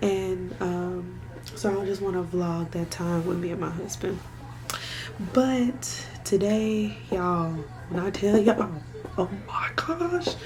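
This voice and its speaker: A woman speaks at a very slow pace with long, frequent pauses. Audible room echo and noticeable background noise surround her voice. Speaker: vlogger and doula. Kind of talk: casual vlog talk to camera. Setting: at home. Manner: speaking quietly.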